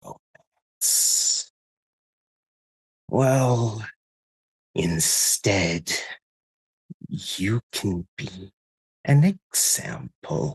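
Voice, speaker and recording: Using a put-on character voice with a sinister tone, a man with a fairly low pitch speaks at a very slow pace. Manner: sinister, mocking.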